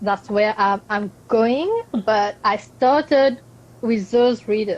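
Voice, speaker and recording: With a Mauritian accent, a woman talks at a very slow pace and a fairly high pitch. Her loudness stays very even, and her pitch varies an ordinary amount. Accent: Mauritian accent, noticeable. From Mauritius. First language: Mauritian Creole. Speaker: author. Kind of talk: interview. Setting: live video stream.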